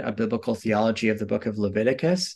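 A man with a Canadian accent talks at a fairly quick pace against a quiet background. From Canada. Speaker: seminary professor. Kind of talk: interview about biblical theology.

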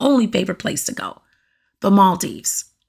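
A woman's somewhat breathy voice carries an animated tone. She speaks at a moderate pace. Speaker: podcast host. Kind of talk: casual solo monologue. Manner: talkative, animated.

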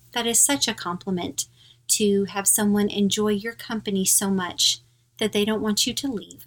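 The speaker talks at a moderate pace with an American accent. It is an ordinary speaking voice. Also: woman. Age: middle-aged. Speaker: podcast host. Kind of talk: casual chat.

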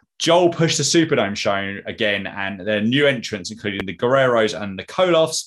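Lively intonation against a quiet background. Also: man. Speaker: wrestling podcast host. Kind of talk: casual chat. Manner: fast.

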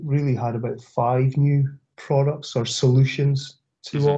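Speaking at a moderate pace and medium pitch, a man with a Scottish accent sounds somewhat breathy, his dark, mellow tone held in a monotone, flat intonation. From Scotland, Aberdeen area. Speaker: corrosion industry business development director. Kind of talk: interview. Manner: halting, many fillers and repetitions.

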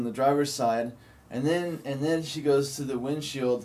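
A man talks in a normal speaking voice, pitched fairly high for a man. His pace is fairly slow and his intonation fairly even. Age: 30s. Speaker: guest in addiction recovery. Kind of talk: casual chat.

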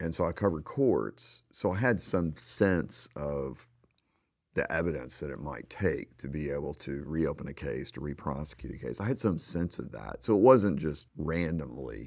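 With lively intonation and vocal fry, a man with a Southern US accent speaks at a moderate pace in a very deep, low pitch, his loudness swinging widely. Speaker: investigative journalist and author. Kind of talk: radio interview about his book.

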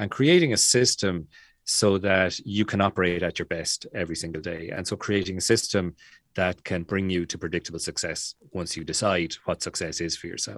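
In a very clean recording with a silent background and a dry, close sound with no echo, a man with an Irish accent speaks at a moderate pace in a very deep, low pitch with ordinary variation. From Ireland. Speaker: author and business coach. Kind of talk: casual podcast interview.

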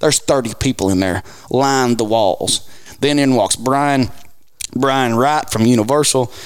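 This man has a Southern US accent and a medium-pitched voice. He speaks at a fairly slow pace, with ordinary pitch variation and very even loudness. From Arkansas (Marshall). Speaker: country music singer-songwriter. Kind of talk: casual chat. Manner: animated.

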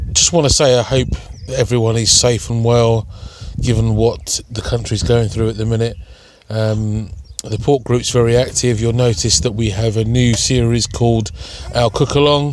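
There is noticeable background noise behind the speaker. He is a man with a medium pitch. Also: fairly even intonation, moderate pace. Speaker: podcast host. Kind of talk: casual podcast intro and outro.

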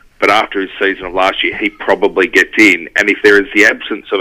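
A man with an Australian accent, the sound dry and close with no echo. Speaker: sports podcast contributor. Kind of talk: casual sports chat.

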